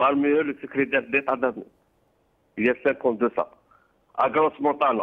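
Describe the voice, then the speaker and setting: A man at a very fast pace, broken by long, frequent pauses, with fairly even intonation. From Algeria. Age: old. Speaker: caller. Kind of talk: phone-in political opinion. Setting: phone call.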